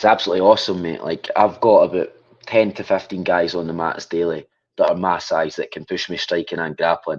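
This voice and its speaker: Very deep and low, a man's voice moves at a fairly quick pace in a strong Scottish accent with fairly even intonation. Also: big swings in loudness. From Scotland, Falkirk. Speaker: MMA fighter. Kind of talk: interview.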